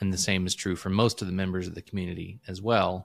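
Flat and monotone, a man talks at a fairly quick pace with a very deep, low pitch. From Illinois, US Midwest. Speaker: entrepreneur, former IT professional. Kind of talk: casual interview chat. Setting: remote call.

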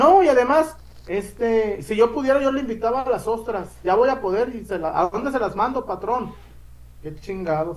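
A man's extremely high voice with lively intonation at a moderate pace, over noticeable background noise. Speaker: sports podcast host. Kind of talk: casual chat. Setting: live stream.

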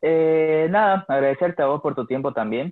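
A man talks at a fairly slow pace with ordinary pitch variation. He has a plain, everyday voice. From Bolivia, Santa Cruz. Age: 20s. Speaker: rock musician. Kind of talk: casual interview chat.

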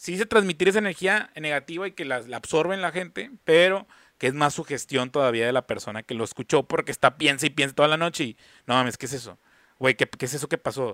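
Bright and sharp in tone, the voice rushes at a very fast pace with lively intonation in a dry, close sound with no echo. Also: man, fairly high pitch for a man. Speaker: podcast co-host. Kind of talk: casual chat. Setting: video call from an internet cafe.

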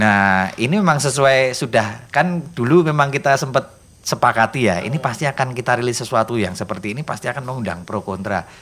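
Speaking at a very fast pace with hardly any pauses, a man has a medium pitch. His intonation is lively. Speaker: singer, writer and Javanese language activist. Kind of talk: casual interview chat.

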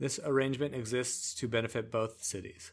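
This is a man with a normal speaking voice. He talks at a medium pitch and a moderate pace. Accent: Canadian. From Canada, Vancouver Island. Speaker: podcast host. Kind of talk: casual chat mixed with reading lore aloud.

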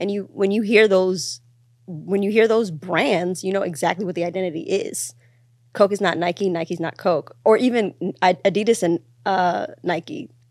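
With ordinary pitch variation, a plain, everyday voice talks at a moderate pace. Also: woman, medium pitch for a woman. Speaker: podcast host. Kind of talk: casual chat.

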